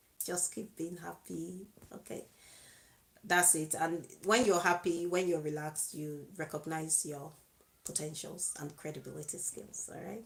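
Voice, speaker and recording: A woman's fairly low, normal speaking voice at a fairly slow pace, with fairly even intonation and big swings in loudness. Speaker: YouTube vlogger giving relationship advice. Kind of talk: live video monologue.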